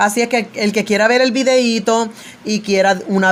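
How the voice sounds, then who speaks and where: The voice belongs to a woman. Its rise and fall is ordinary. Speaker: evangelical preacher. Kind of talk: religious commentary monologue. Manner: loud; authoritative.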